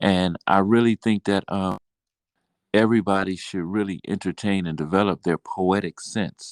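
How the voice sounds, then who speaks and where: A man with an American accent speaks at a very deep, low pitch and a moderate pace. The recording is very clean with a silent background and a dry, close sound with no echo. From Mobile, Alabama, US South. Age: 60s. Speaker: poet and business owner. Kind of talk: interview. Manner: halting, many fillers.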